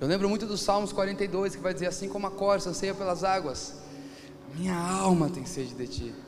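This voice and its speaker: A man with a high pitch speaks in a Brazilian accent, with audible room echo and noticeable background noise. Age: 30s. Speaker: pastor. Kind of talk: sermon.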